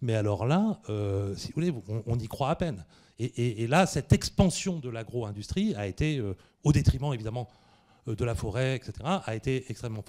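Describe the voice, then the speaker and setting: A man speaks at a moderate pace in a medium pitch, his dark, mellow tone carried by lively intonation on a very clean recording with a silent background. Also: big swings in loudness. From northern France (Picardy). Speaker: history professor. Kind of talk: Q&A after a public lecture. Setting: cinema hall with audience. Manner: hesitant, many fillers.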